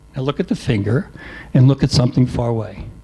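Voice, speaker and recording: A man's dark, mellow, somewhat breathy voice. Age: 60s. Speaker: expat club speaker. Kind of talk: talk to a live audience. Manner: halting, repeats words.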